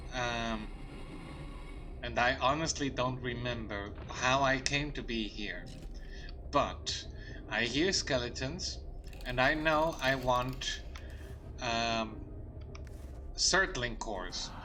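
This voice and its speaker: Long, frequent pauses mark this very slow speech, heard with audible room echo. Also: man. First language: not English. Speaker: gaming streamer. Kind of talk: casual gameplay commentary. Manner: halting, frequent fillers and repetitions.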